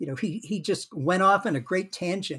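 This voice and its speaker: With an American accent, a man speaks at a high pitch with lively intonation. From Massachusetts, US (Worcester). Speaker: retired lawyer and museum founder. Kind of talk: interview. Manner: hesitant with many fillers.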